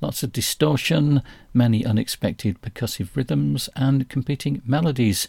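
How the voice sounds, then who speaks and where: A man with a dark, mellow, somewhat breathy tone speaks at a moderate pace with lively intonation, recorded very cleanly against a silent background. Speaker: jazz radio host. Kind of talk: radio DJ patter: jazz show intros and back-announcements, reading release notes. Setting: radio studio show, podcast.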